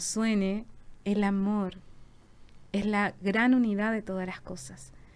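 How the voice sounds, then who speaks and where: The intonation is monotone and flat. A woman is talking very slowly. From southern Chile, Valdivia. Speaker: visual artist and social worker. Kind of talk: casual chat.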